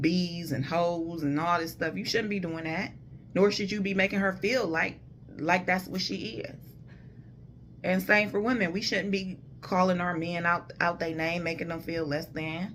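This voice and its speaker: A woman speaks at a fairly low pitch and a moderate pace, with ordinary pitch variation. Audible room echo surrounds her voice. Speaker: vlogger giving relationship advice. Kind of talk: casual monologue. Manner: loud.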